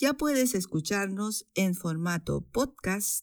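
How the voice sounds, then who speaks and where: A woman's voice moves through very wide pitch swings. The recording is very clean, with a silent background. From Chile. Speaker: Spanish teacher and podcast host. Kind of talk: educational podcast narration.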